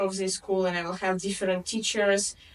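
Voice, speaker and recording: A woman with a Russian accent over noticeable background noise. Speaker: English tutor. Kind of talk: interview.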